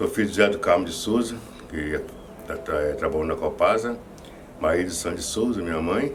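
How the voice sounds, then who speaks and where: With long, frequent pauses and audible room echo, a man talks at a moderate pace. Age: 60s. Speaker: former football goalkeeper. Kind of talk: interview. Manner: halting, many repetitions.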